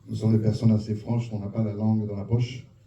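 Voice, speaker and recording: A man with a fairly low pitch rattles along at a very fast pace. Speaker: audience member at film screening. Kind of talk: public question and comment. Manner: animated.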